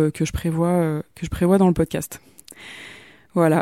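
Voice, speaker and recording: With a dark, mellow tone, a woman's fairly low voice comes through. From Paris region, France. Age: 30s. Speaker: podcast host. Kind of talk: solo podcast monologue. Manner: halting, many fillers and repetitions.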